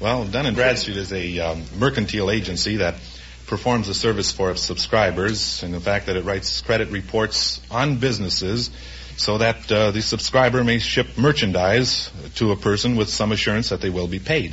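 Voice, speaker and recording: Over noticeable background noise, a man with an American accent and fairly low pitch talks at a moderate pace, his pitch swinging very widely. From Minneapolis, Minnesota. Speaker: credit reporter, quiz contestant. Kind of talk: 1950s radio quiz show contestant interview.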